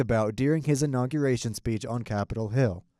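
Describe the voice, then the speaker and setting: A man in an unremarkable speaking voice at a fairly quick pace, with ordinary pitch variation, in a very clean recording with a silent background and a dry, close sound with no echo. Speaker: news reporter. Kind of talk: TV news reporter stand-ups and packages.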